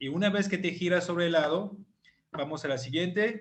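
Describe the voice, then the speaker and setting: A man speaks with a high pitch and a French-African accent, his pitch varying in an ordinary way. Room echo is audible around him. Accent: foreign (French-African) accent in Spanish. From France / Africa (half French, half African). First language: French (speaking Spanish). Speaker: chiropractor. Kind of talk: online presentation / lecture. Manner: hesitant, many fillers.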